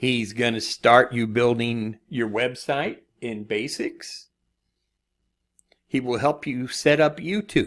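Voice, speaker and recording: A man speaks at a very slow pace with a medium pitch. His pitch varies in an ordinary way, over a quiet background. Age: 60s. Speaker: online marketing course reviewer. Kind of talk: screen-share product review. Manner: casual, conversational. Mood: encouraging, reassuring. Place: home room.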